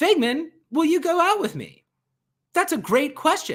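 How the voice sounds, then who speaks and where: Squeaky and extremely high, a put-on character voice moves along at a moderate pace. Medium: game stream. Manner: chummy, upbeat.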